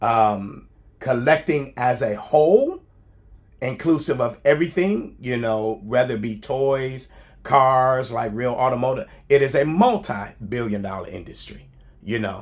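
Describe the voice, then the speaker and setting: A man speaks at a medium pitch with lively intonation. His loudness swings widely, and his pace is fairly slow. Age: 60s. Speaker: YouTuber, statue collector. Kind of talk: casual vlog monologue. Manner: hesitant, many fillers.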